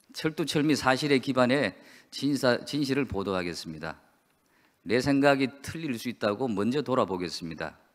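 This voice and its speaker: Over a quiet background, a man with a medium pitch and vocal fry speaks at a moderate pace with lively intonation. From South Korea. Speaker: newspaper publisher. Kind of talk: opening speech. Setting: conference hall. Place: hall. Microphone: podium.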